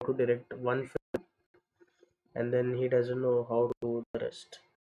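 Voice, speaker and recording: A man speaks quietly at a fairly slow pace. The sound is dry and close, with no echo. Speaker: video editor livestreamer. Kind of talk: casual livestream talk while working. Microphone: far from the camera mic.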